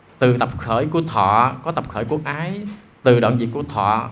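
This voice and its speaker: A man speaks with ordinary pitch variation while light background noise is heard. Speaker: monk teacher. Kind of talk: dharma lecture. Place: hall. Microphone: handheld.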